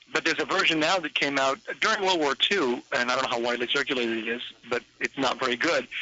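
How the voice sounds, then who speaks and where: Very fast speech from a man at medium pitch, with noticeable background noise. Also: ordinary pitch variation. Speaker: radio show producer. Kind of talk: casual chat. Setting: phone call.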